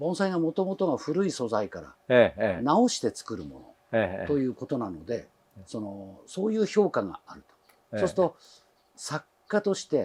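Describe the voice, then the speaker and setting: A man's fairly high-pitched voice at a fairly slow pace, with very wide pitch swings and big swings in loudness. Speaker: channel navigator, bonsai presenter. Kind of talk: interviewer questions.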